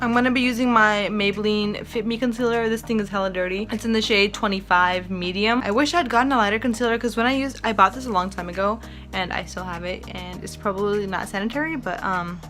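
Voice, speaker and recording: A woman talks at a very fast pace in an animated tone, with hardly any pauses. Noticeable background noise runs underneath. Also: medium pitch for a woman, ordinary pitch variation. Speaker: beauty vlogger. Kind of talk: casual chat. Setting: filming at home on a tripod.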